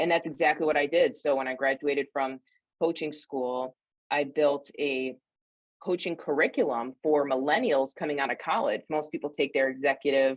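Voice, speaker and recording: With a slight upstate New York accent, a woman speaks at a very deep, low pitch with fairly even intonation. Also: moderate pace. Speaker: career coach and speaker. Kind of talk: interview.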